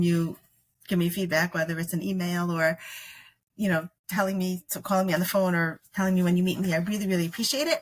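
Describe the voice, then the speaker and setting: The woman's voice is somewhat breathy. Her intonation stays fairly even. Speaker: podcast host. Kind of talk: casual chat. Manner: fast.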